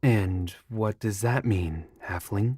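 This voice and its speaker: Using a put-on character voice, a man pitches his speech fairly low. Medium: audio drama. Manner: formal, literal.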